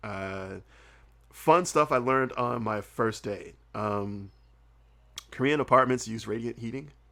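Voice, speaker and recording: A bright, sharp, animated voice in an American accent, fairly slow, with ordinary pitch variation. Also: man. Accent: slight Southern accent, mostly hidden. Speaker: comedian and podcaster, former English teacher in Korea. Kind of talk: casual podcast interview. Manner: animated, conversational with many fillers.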